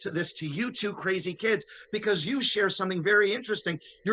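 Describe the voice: The speaker reads aloud plainly.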